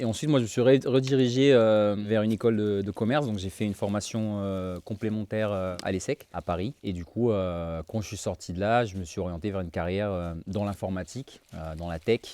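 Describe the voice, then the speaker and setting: Fairly quick and with hardly any pauses, a man with a fairly low pitch and dark, mellow tone speaks with ordinary pitch variation. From French Polynesia (Tahiti, Papeete). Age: 30s. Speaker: fitness entrepreneur. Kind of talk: casual chat. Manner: hesitant, many fillers.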